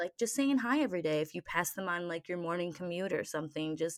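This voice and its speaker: A woman with a normal speaking voice and a fairly low pitch talks at a fairly quick pace on a very clean recording with a silent background. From Michigan, US Midwest. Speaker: podcast co-host. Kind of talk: casual chat.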